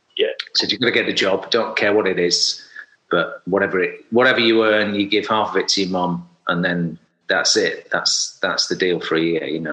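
A man speaks with a South Yorkshire accent. His pace is moderate. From Sheffield, South Yorkshire. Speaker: hairdresser and salon owner. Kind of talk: casual interview chat. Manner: halting, many fillers.

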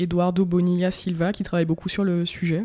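Speaking at a moderate pace, a woman has a fairly low pitch and a dark, mellow tone. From Martinique. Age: 20s. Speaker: interviewee sharing hair journey. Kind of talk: interview.

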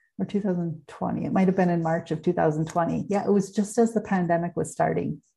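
A dark, mellow voice with vocal fry speaks at a moderate pace with fairly even intonation. The background is quiet. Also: woman. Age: 50s. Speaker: podcast host and human design coach. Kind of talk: solo podcast monologue.

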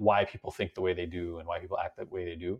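Someone talks at a very fast pace against a quiet background. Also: man. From China (Beijing), Iranian parents. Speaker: robotics entrepreneur, former venture capitalist. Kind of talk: interview conversation.

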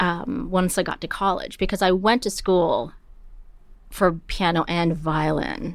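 In a very clean recording with a silent background, a woman with a normal speaking voice speaks at a fairly slow pace, at a medium pitch and with ordinary pitch variation. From Canada, Toronto. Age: 40s. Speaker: opera prompter and pianist. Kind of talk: interview conversation.

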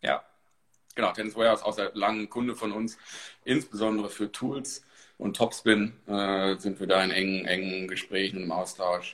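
A man uses a normal speaking voice, fairly low in pitch, moving at a moderate pace with fairly even intonation. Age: 30s. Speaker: marketing manager. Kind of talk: interview.

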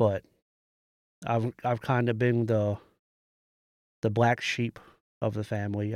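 With a dry, close sound and no echo, a man of medium pitch talks at a fairly slow pace in a monotone, flat intonation, leaving long, frequent pauses. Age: 30s. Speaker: storyteller guest. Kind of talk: testimony.

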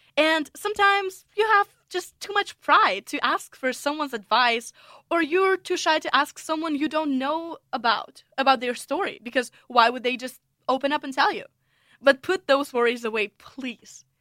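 In a raised, projected voice with a bright, sharp tone, a woman with high pitch speaks at a moderate pace with lively intonation and a dry, close sound with no echo. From Russia. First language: Russian. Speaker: podcast host, international student. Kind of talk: solo podcast monologue.

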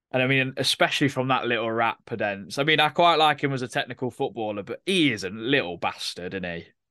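In an East Midlands accent, a man talks at a very fast pace with a bright, sharp tone, medium pitch and lively intonation, the sound dry and close with no echo and a quiet background. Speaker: podcast host. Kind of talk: casual chat.

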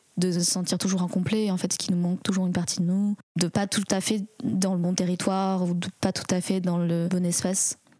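A woman's medium-pitched, monotone voice with flat intonation, the sound dry and close with no echo. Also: very even loudness. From France. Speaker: storyteller. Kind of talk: personal testimony. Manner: reflective, hesitant.

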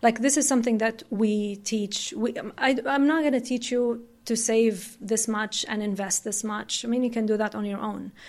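Hardly pausing, a woman with an Arabic accent keeps a moderate pace, a fairly high pitch and fairly even intonation in a very clean recording over a silent background. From Saudi Arabia. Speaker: company CEO and founder. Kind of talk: interview conversation. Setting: studio.

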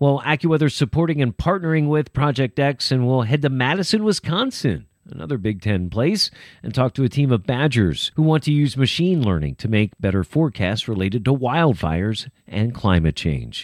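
In an American accent, a man talks at a fairly quick pace with very wide pitch swings. The recording is very clean, with a silent background and a dry, close sound with no echo. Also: medium pitch for a man. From Pennsylvania. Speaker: podcast host, meteorologist and stadium announcer. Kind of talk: casual chat. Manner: animated.

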